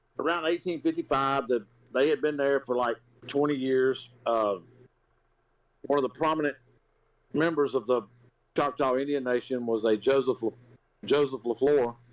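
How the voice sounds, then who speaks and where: A man with a Southern US accent speaks at a moderate pace in very even loudness, with long, frequent pauses. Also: medium pitch for a man, ordinary pitch variation. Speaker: podcast co-host, resident historian. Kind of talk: storytelling. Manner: casual, filler-heavy.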